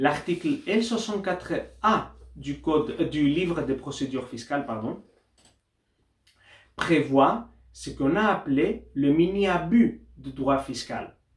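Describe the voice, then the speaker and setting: Spoken at a very slow pace with long, frequent pauses, the voice carries vocal fry and lively intonation. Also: man, fairly high pitch for a man. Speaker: doctoral researcher and lawyer. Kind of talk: academic conference talk. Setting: university study day. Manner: formal; occasionally halting.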